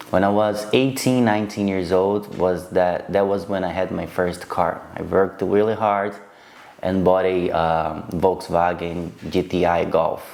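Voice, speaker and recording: A man with a very deep, low voice speaks at a fairly slow pace with fairly even intonation, and the room echo is audible. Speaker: vlogger. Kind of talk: casual storytelling to camera. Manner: halting, with repetitions and fillers.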